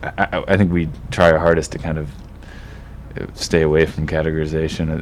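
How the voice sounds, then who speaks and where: A man with an American accent talks at a fairly quick pace in a very deep, low pitch. His intonation is fairly even, and there is noticeable background noise. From US East Coast. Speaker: indie rock musician. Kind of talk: casual interview. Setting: studio. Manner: halting, repeats words.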